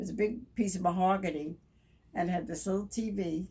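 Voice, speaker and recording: Her tone dark and mellow and somewhat breathy, a woman speaks at a moderate pace with fairly even intonation. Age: 80s+. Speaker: former wartime factory worker. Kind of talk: interview answer.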